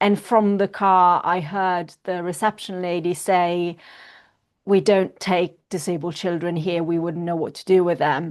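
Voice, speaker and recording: With an Italian accent, a woman speaks slowly and flatly in a fairly low monotone against a quiet background. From northern Italy, near Milan. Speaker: para-swimmer and activist. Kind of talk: interview.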